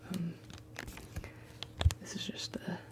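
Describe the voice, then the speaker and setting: Someone whispers fairly slowly while background noise stays noticeable. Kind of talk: ASMR ramble. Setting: studio. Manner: soft-spoken.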